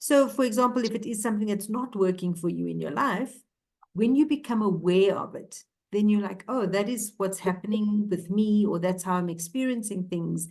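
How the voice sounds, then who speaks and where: At a moderate pace, a woman talks in a somewhat breathy, medium-pitched voice with ordinary pitch variation. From South Africa, Cape Town. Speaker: ontological coach. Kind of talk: interview conversation.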